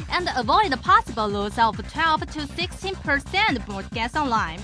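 Music plays behind a woman talking at a moderate speed. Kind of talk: TV commercial read.

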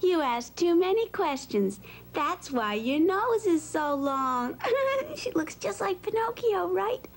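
A woman performs a put-on character voice at an extremely high pitch. She goes at a slow pace with big pitch swings. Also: few pauses.

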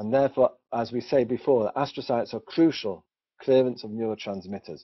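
At a fairly quick pace, a man with a British accent talks at medium pitch with ordinary pitch variation. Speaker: doctor presenting research. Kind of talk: webinar presentation. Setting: online webinar.

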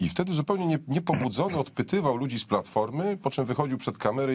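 This man talks at a very fast pace with lively intonation. Vocal fry runs through his voice. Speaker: political commentator. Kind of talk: political commentary chat. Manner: sarcastic. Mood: ironic, mocking. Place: studio.

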